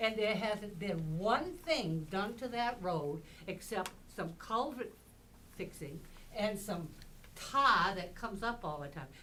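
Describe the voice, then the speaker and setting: Amid noticeable background noise and audible room echo, a woman with a medium pitch talks at a very slow pace with long, frequent pauses and lively intonation. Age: 80s+. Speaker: local resident speaking at public hearing. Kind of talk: public comment at town hearing. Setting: town hall meeting room. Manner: animated.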